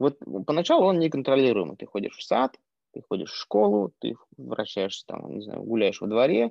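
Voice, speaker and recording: A man speaks in an unremarkable speaking voice at a medium pitch and a moderate pace. His intonation is lively, with big swings in loudness. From Yakutia, Russia. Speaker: entrepreneur, former tattoo artist. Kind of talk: casual interview conversation. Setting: video call.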